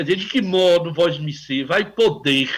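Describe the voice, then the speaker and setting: A fairly high pitch marks this man's voice. It swings up and down very widely. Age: 70s. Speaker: psychiatrist, radio contributor. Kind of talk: radio interview. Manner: halting, searching for words.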